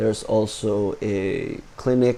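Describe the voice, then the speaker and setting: A man's dark, mellow tone in monotone, flat intonation. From Philippines. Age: 20s. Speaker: vlogger. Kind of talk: unscripted monologue. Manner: halting.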